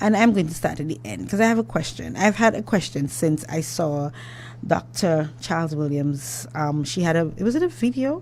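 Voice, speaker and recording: Speaking with an Antiguan accent, a woman uses a very deep, low pitch with very wide pitch swings and vocal fry at a moderate pace. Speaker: radio host. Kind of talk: radio talk show interview. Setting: radio studio.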